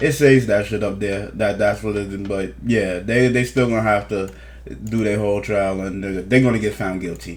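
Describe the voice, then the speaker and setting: A fairly low-pitched man with lively intonation and audible room echo. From New Jersey, East Orange. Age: 30s. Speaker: news commentator. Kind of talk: casual commentary reading court documents. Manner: fast.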